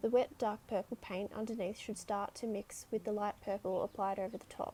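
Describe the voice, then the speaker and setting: The speech comes at a fairly quick pace with an Australian accent. The intonation is flat and monotone. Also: woman, medium pitch for a woman. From Sydney, Australia. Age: 20s. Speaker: artist. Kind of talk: painting tutorial narration.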